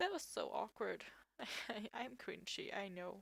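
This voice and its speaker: Fairly slow speech with a non-native accent, in a dry, close sound with no echo. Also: woman. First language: not English. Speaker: artist. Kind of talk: tutorial. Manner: halting.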